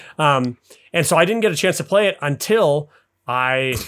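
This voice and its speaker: A man with an American accent and a plain, everyday voice speaks at a moderate pace with lively intonation. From US, Utah (Salt Lake City). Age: 30s. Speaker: podcast guest, gamer. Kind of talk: casual chat.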